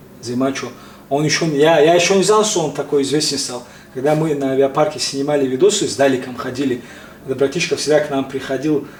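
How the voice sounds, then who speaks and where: Over noticeable background noise, a man with a slight Caucasian accent talks very fast with fairly even intonation. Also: fairly high pitch for a man. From Tajikistan. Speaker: interviewee, prankster blogger just released from custody. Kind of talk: casual interview. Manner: halting.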